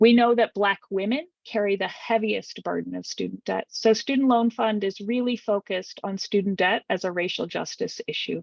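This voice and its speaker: A woman with an unremarkable speaking voice talks at a moderate pace and medium pitch. Her intonation is fairly even, and the sound is dry and close with no echo. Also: hardly any pauses. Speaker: student debt advocate. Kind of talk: virtual presentation.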